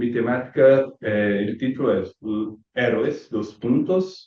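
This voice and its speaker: With a dark, mellow tone and lively intonation, a man speaks at a very slow pace. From Brazil. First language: Portuguese (speaking Spanish). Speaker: student presenter. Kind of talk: conference talk.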